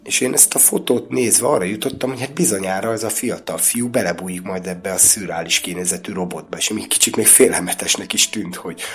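Amid noticeable background noise, a man speaks very fast with hardly any pauses, using a fairly low pitch and ordinary pitch variation. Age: 50s. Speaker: casting director. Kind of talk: casual chat.

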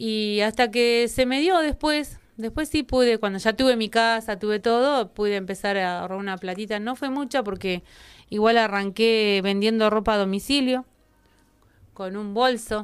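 A woman with a normal speaking voice, fairly high pitch and moderate pace, on a very clean recording with a silent background. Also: ordinary pitch variation. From Argentina, Neuquén. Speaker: chamber of commerce president. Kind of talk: interview.

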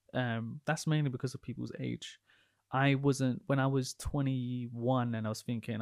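A man speaks at a fairly quick pace in a medium pitch with fairly even intonation, a plain, everyday voice captured in a very clean recording with a silent background and a dry, close sound with no echo. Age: 20s. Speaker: podcast host, property investor. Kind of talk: casual interview chat.

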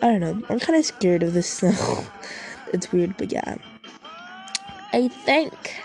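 Music plays behind a woman who speaks at a fairly slow pace with long, frequent pauses. Her pitch swings very widely. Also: medium pitch for a woman. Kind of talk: casual chat.

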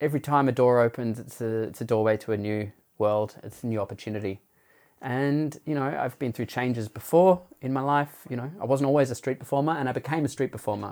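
A man with an Australian accent talks at a fairly quick pace and medium pitch with ordinary pitch variation, in a very clean recording with a silent background. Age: 40s. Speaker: street theatre performer. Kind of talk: interview. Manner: hesitant, many fillers.

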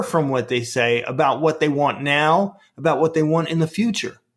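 This man has a Brooklyn accent. His pitch sits fairly high. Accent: Brooklyn New York, noticeable. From Brooklyn, New York. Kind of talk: interview explanation.

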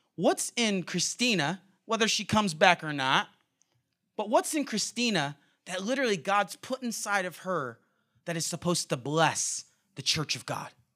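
Someone with an American accent speaks in a raised, projected voice with lively intonation. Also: man, high pitch for a man, moderate pace. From California. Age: 30s. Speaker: guest preacher. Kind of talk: sermon. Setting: church service with congregation.

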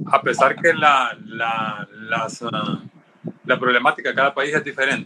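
A man speaks at a medium pitch and a fairly slow pace, with ordinary pitch variation. Noticeable background noise runs underneath. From Honduras. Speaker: pediatrician. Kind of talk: panel discussion.

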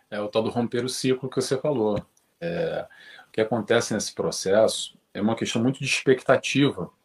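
This man talks at a moderate pace with a medium pitch. His voice is somewhat breathy and shows ordinary pitch variation. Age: 40s. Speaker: spiritist study group leader. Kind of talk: casual chat.

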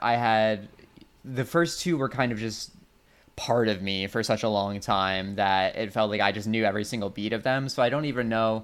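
With medium pitch and ordinary pitch variation, the man speaks in an unremarkable speaking voice. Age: 30s. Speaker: podcast host. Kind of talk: casual chat.

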